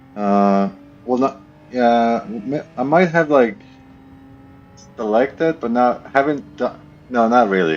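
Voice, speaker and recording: Over music in the background, a man mumbles in a put-on character voice at a medium pitch and fairly slow pace, with long, frequent pauses. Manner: mumbling.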